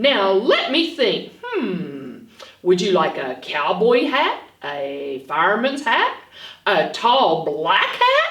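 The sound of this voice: A woman uses a put-on character voice with a fairly bright tone and very wide pitch swings. She speaks at a slow pace amid strong room echo. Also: medium pitch for a woman.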